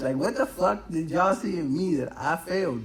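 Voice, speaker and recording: A man with an American accent talks in an animated tone at a fairly quick pace. Background noise is noticeable. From Cuba-born, raised in the US from age four. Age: 30s. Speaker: podcast host. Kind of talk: casual solo podcast monologue. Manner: fast; rambling, animated.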